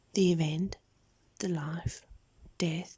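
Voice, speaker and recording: A soft-spoken voice in a calm tone at a fairly slow pace. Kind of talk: scripture reading, audio Bible narration. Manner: soft-spoken, calm.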